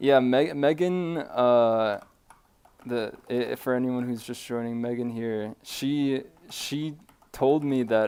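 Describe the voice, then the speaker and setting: A man with an American accent, dark and mellow in tone, at a very slow pace. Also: medium pitch for a man, ordinary pitch variation. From California. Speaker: animator and streamer. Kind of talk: casual live stream chat. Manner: halting, frequent stammers.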